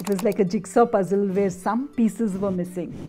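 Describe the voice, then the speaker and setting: Over music in the background, a woman talks at a moderate pace with ordinary pitch variation. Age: 60s. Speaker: organic farmer and botanist. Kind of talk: documentary interview.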